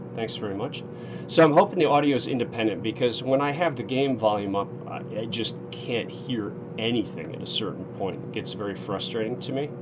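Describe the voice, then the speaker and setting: Over noticeable background noise and audible room echo, a man with medium pitch speaks at a fairly quick pace with lively intonation. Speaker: gaming streamer. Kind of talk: let's play live stream commentary. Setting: home streaming setup with headset. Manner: casual, hesitant with fillers.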